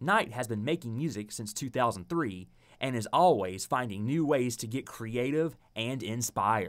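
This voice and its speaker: A man with a normal speaking voice and an American accent talks at a moderate pace, with medium pitch and ordinary pitch variation, on a very clean recording with a silent background. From Mississippi, USA. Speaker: television news reporter. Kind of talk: TV news reporter package narration.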